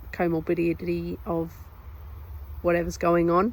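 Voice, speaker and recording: A woman speaking at a moderate pace. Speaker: vlogger with a rare disease. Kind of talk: personal health explainer. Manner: casual, many fillers.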